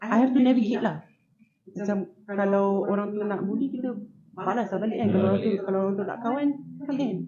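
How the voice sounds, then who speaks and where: Audible room echo carries a man's high-pitched voice. He talks at a very fast pace with fairly even intonation. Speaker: TikTok creator. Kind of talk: casual chat. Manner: loud; code-switching English and Malay.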